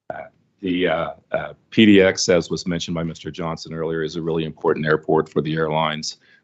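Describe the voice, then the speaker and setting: A man with a very deep, low pitch talks very fast in a monotone, flat intonation. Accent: Oklahoma. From Oklahoma. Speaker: airline fuel consortium environmental representative. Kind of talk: public meeting remarks. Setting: public commission meeting, also on video call. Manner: halting, many fillers.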